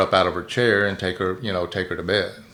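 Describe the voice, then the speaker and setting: The delivery moves at a fairly quick pace, with fairly even intonation. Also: man. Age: 60s. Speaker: prison inmate. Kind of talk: interview.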